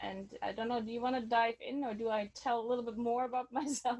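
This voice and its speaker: A woman speaks with a German accent. Her pitch sits fairly high. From Germany. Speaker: sound healer. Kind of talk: online workshop instruction. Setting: video call, outdoors on her deck. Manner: halting.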